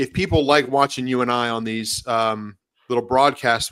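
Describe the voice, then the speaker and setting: Heard on a very clean recording with a silent background, the voice has a bright, sharp tone, fairly even intonation and a fairly quick pace. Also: man. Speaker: horse racing handicapper. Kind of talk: casual chat. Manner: halting.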